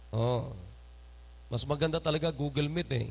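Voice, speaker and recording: A man's animated tone at a moderate pace. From Philippines. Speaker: pastor. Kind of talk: sermon. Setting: church. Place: church. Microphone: handheld.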